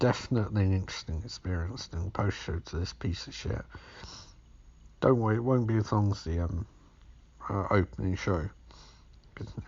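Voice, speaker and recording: This man's voice is very deep, low, and somewhat breathy, with ordinary pitch variation. He keeps a moderate pace but leaves long, frequent pauses. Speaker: podcast host doing movie commentary. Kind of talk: casual film commentary.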